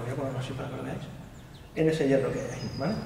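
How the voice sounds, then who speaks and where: A man talks amid light background noise, with audible room echo. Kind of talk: casual vlog chat. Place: hall.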